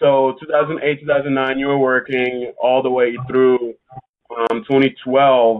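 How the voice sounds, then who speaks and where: This is an unremarkable speaking voice of a man at a medium pitch. He speaks at a fairly slow pace. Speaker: podcast host. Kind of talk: casual interview chat.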